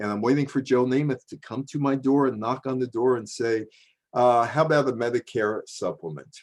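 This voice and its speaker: Pitched in the middle range, a man talks at a fairly quick pace with fairly even intonation. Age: 60s. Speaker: media historian and speaker. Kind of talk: presentation lecture. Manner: casual, hesitant with many fillers.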